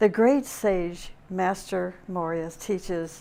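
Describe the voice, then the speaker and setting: A woman's very slow speech with ordinary pitch variation. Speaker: spiritual teacher. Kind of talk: lecture. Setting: webinar.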